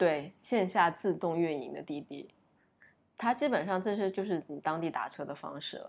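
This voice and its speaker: Vocal fry runs through a woman's speech at a moderate pace, with ordinary pitch variation. Her loudness swings widely. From Uzbekistan. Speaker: podcast guest, former student abroad. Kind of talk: casual chat. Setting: recording at home, lying down. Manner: low-energy.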